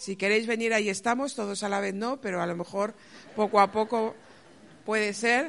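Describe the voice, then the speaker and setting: A woman in a Castilian accent, fairly high in pitch, at a moderate pace with fairly even intonation. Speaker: pastor. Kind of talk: testimony. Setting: church.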